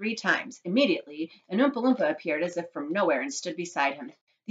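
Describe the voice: The background is quiet, and the clip is plain reading aloud.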